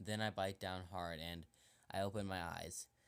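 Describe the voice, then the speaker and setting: The recording is very clean with a silent background. A man with a very deep, low pitch speaks in a monotone, flat intonation. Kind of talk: horror story narration. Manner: stuttering.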